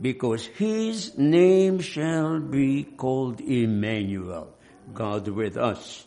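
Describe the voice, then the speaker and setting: A man speaks at medium pitch with very wide pitch swings. His pace is very slow. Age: 80s. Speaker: preacher. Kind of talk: sermon. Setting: church.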